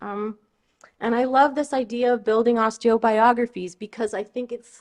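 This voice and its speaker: With a Californian accent, a woman talks at a moderate pace in a fairly high pitch and fairly even intonation. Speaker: osteoarchaeologist. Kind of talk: lecture. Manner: halting, many fillers and restarts.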